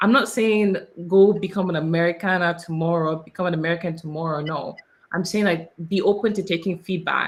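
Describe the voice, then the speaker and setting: Pitched fairly low, a woman talks at a fairly quick pace. Her intonation stays fairly even. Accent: Nigerian. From Nigeria. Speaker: immigrant panelist, consultant. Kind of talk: panel discussion.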